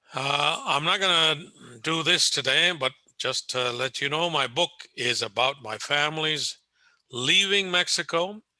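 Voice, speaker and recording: A man with an American accent speaks at a fairly high pitch. His tone is bright and sharp. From Southern California. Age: 80s+. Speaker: retired history professor and author. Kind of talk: lecture. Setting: video call. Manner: conversational, with frequent filler.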